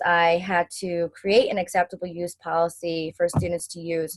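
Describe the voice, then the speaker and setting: The audio sounds dry and close, without echo. A woman's delivery is moderately paced. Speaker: graduate student and teacher presenting her e-portfolio. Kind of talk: class presentation over video call.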